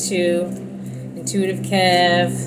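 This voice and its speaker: A woman is speaking with audible room echo. Music plays in the background. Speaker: tarot reader. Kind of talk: casual monologue to viewers. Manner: fast.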